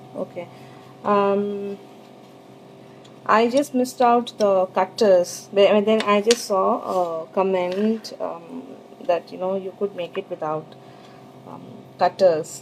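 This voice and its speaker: Pausing long and often, a woman talks at a very slow pace in a medium pitch with ordinary pitch variation. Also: big swings in loudness. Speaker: sugar art teacher. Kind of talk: live tutorial. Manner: hesitant, many fillers; trying to speak louder.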